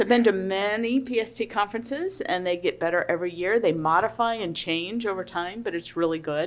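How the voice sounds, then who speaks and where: The pace is moderate as a woman talks. Pitch shifts in ordinary ways. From US Midwest. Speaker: government pipeline safety official. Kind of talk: conference panel talk. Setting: conference room with audience.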